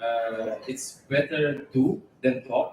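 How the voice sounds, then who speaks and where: A man with a non-native accent. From Uzbekistan. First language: not English. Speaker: amateur boxer. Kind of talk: press conference interview. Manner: halting.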